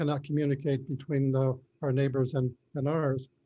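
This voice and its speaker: At a moderate pace, a man with a fairly high pitch speaks in a dark, mellow, somewhat breathy tone with monotone, flat intonation. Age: 80s+. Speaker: property owner at hearing. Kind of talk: informal court hearing testimony. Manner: halting.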